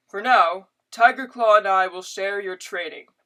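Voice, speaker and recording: In a put-on character voice, the speaker uses a fairly high pitch and keeps a moderate pace. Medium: read story. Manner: gentle, calm.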